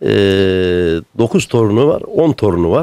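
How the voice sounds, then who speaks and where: A man's voice at a fairly slow pace with very wide pitch swings, dry with no echo, against a quiet background. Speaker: son caring for elderly mother. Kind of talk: interview answer. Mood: warm, touched. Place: home room. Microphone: handheld.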